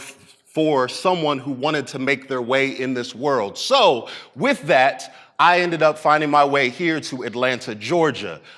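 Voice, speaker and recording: A normal speaking voice with an American accent, moderate pace and ordinary pitch variation. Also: man. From US Midwest, Massillon, Ohio. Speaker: spoken word poet. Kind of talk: TEDx talk. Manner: conversational.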